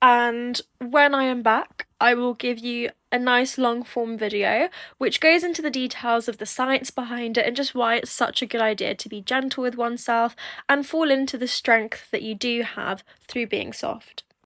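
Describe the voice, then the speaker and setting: At a moderate pace, a woman speaks in a high, bright, sharp voice with fairly even intonation, on a very clean recording with a silent background. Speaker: mother. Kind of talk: casual educational talk to camera. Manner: soft, gentle.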